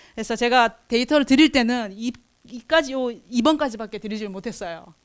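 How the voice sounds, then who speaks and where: A woman speaks at a fairly quick pace in a high voice, with ordinary pitch variation. Her loudness swings widely. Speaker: researcher presenting at forum. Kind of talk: conference presentation. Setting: conference hall with audience. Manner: speeds up and uses dialect when nervous; halting, many fillers.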